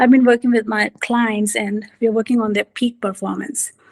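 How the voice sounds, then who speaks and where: The sound is dry and close with no echo. The voice is somewhat breathy, with fairly even intonation. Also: woman. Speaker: executive coach. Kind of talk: talk with slides.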